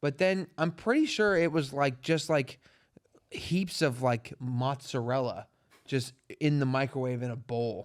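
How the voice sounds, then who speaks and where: A man with a normal speaking voice talks at a fairly slow pace in a fairly high pitch with ordinary pitch variation, captured in a very clean recording with a silent background. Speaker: comedy podcast host. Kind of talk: casual chat.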